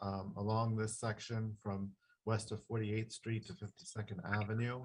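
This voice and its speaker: His voice is fairly low, somewhat breathy and soft-spoken. The man keeps a monotone, flat intonation. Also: moderate pace. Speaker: traffic engineer. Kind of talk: public meeting presentation. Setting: video call from home. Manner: halting, many fillers. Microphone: too quiet.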